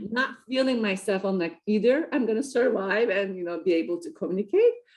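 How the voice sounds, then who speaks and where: Using a non-native accent, a woman talks at a fairly quick pace and medium pitch with lively intonation. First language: not English. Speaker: entrepreneur and triathlete. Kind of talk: interview. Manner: hesitant, many fillers.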